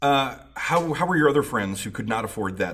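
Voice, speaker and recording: Very wide pitch swings mark this moderately paced voice, heard with audible room echo. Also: man. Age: 40s. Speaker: recovery podcast host. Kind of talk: interview.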